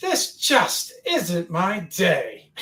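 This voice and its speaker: This put-on character voice is pitched fairly high. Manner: complaining, exasperated.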